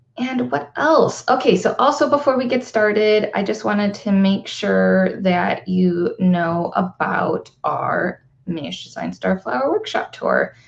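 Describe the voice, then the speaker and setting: A woman talks at a fairly slow pace with hardly any pauses. Noticeable background noise runs behind her. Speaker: live show host for florists. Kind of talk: casual livestream chat. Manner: chatty, with many fillers.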